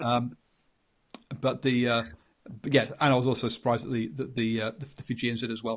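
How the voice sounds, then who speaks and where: A man with an English accent talks at a fairly quick pace. Long, frequent pauses break up his fairly even intonation. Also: medium pitch for a man. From England. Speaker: rugby podcast host. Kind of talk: casual chat. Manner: halting.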